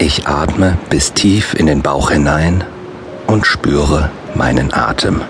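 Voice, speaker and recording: The tone is calm and soothing, at a very slow pace with very even loudness and ordinary pitch variation. Noticeable background noise is present. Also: man, very deep, low pitch for a man. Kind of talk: guided meditation with affirmations. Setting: studio audiobook recording. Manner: slow, calm, soothing; repetitive, measured, with long pauses.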